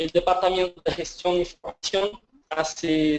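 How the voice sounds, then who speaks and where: A man with a Portuguese accent, speaking at a very slow pace. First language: Portuguese (speaking Spanish). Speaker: government evaluation official. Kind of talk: webinar presentation. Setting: online webinar. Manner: halting.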